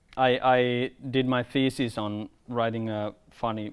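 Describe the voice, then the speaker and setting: A medium-pitched man with a Finnish accent on a very clean recording with a silent background. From Finland, rural countryside. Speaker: filmmaker. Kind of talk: workshop talk. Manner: halting, repeats words.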